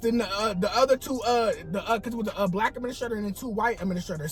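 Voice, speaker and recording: Music plays in the background as a man talks at a very fast pace. His high-pitched voice has an animated tone and ordinary pitch variation. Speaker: vlogger. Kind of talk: storytelling.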